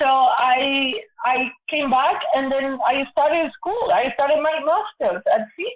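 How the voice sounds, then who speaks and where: A woman with a Spanish accent speaks at a fairly slow pace, her high-pitched voice moving with lively intonation. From Argentina, Buenos Aires. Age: 60s. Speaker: guest sharing personal story. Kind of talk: casual interview conversation.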